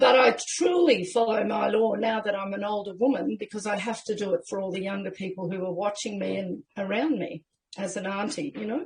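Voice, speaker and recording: Vocal fry runs through this voice, which moves at a fairly quick pace. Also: woman. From Australia. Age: 60s. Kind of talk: interview.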